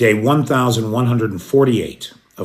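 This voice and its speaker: A man with an American accent talks at a fairly quick pace in a normal speaking voice. His pitch is medium, with ordinary pitch variation. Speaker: news commentator broadcasting live from Kyiv. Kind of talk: live news update to chat viewers. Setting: recorded at midnight in Kyiv.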